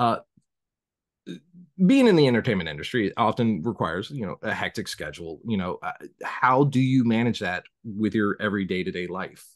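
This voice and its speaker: With a quiet background, a man in an American accent speaks at a fairly quick pace, his medium pitch carried by lively intonation. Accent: Southern accent, mostly hidden. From US South. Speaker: podcast host. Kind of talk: casual interview chat.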